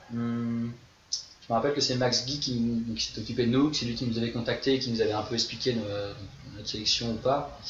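Amid noticeable background noise and audible room echo, a man speaks at medium pitch and a fairly quick pace in a monotone, flat delivery. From western France. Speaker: ultimate frisbee player. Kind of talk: casual interview.

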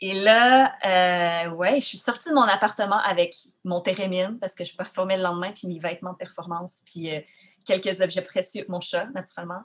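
Speaking at a moderate pace, a woman with a medium pitch for a woman shows ordinary pitch variation and big swings in loudness. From Quebec, Rimouski (Bas-Saint-Laurent). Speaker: poet and musician. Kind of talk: interview. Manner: halting, many fillers.

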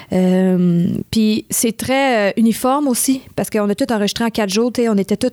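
The speaker has a Quebec accent. The sound is dry and close with no echo, a very clean recording over a silent background. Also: woman. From Montreal West Island, Quebec. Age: 20s. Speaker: singer-songwriter. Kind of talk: interview. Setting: studio.

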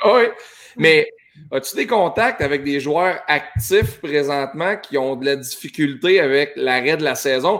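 A normal speaking voice from a man, fairly high in pitch, with lively intonation, big swings in loudness and a fairly slow pace. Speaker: talk show host. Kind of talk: casual chat.

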